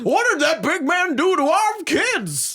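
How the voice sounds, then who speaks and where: A put-on character voice at an extremely high pitch moves along at a fairly slow pace. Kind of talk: rural.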